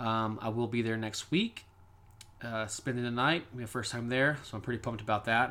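A plain, everyday voice, a man with an American accent, medium pitch, fairly even intonation, and a fairly quick pace. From Kansas. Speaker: paranormal podcast host. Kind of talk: casual monologue.

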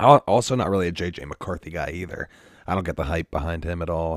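A man speaks at a very fast pace in a very deep, low pitch. His pitch varies in an ordinary way. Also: dry, close sound with no echo. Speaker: football podcast host; teacher. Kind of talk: casual sports chat.

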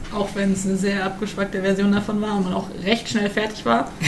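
A woman talks at a moderate pace and medium pitch. Audible room echo and noticeable background noise surround her voice. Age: 20s. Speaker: volunteer at youth centre. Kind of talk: casual chat.

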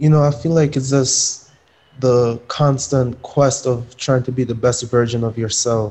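In an American accent, a man with a medium pitch speaks in a flat monotone that is somewhat breathy. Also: fairly slow pace. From Jamaica until age eight, then Connecticut, US. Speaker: professional soccer player. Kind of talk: interview. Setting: video call. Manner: casual, filler-heavy.

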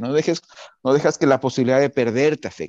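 This man has a plain, everyday voice at a medium pitch and moves at a fairly quick pace. The sound is dry and close, with no echo. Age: 40s. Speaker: cooking show contestant and yoga practitioner. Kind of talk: casual interview.

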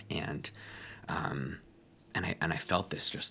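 The voice has an American accent. Vocal fry runs through it. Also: man. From United States. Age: 20s. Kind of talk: interview.

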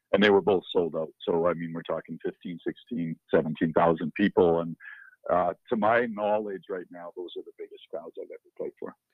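The voice swings widely in loudness, with a western Canadian accent. The pace is moderate. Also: man. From northern Alberta, Canada. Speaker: country musician. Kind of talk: interview.

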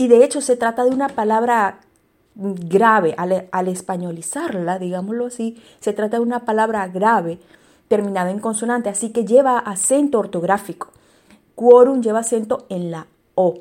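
Speaking at a moderate pace, the woman has a fairly high pitch and ordinary pitch variation. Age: 40s. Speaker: podcast host, digital copywriter. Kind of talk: educational monologue. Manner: halting, many repetitions and fillers.

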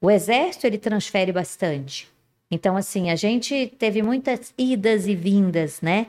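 A woman speaks at a fairly slow pace. Her medium-pitched voice has lively intonation. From Resende, interior of Rio de Janeiro state, Brazil. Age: 50s. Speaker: women's mentor. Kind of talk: casual chat.

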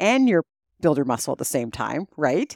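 The sound is dry and close, with no echo, on a very clean recording over a silent background. The pace runs fairly quick. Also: woman. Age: 50s. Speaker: doctor, health and fitness expert. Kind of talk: casual educational chat.

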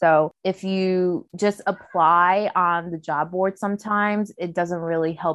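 An unremarkable speaking voice with fairly even intonation. The sound is dry and close with no echo, over a quiet background. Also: woman. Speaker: podcast co-host, recent graduate. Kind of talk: casual chat.

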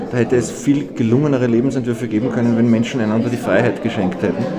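Heard with audible room echo and noticeable background noise, a man speaks at a medium pitch. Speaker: journalist and cabaret artist. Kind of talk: casual interview. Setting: restaurant.

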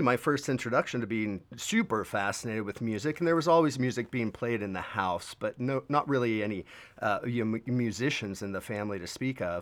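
An ordinary speaking voice from a man, medium in pitch, with lively intonation at a fairly quick pace, in a very clean recording with a silent background. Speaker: musician and videographer. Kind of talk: casual interview.

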